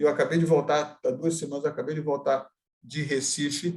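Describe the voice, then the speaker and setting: At a moderate pace, a man with a fairly high pitch and a somewhat breathy voice speaks with fairly even intonation. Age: 60s. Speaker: adoptee and adoption advocate. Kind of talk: group discussion. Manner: halting.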